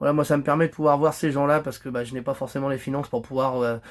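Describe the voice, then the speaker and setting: Speaking at a very fast pace, a man with a fairly high pitch keeps a monotone, flat intonation. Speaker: fishing youtuber. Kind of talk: casual vlog monologue. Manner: halting, many fillers and repetitions.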